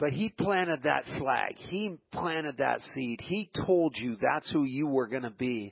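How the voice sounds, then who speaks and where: Speaking at a fairly slow pace with hardly any pauses, a man uses a fairly high pitch, an animated tone and lively intonation. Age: 60s. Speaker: radio host. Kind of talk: radio interview.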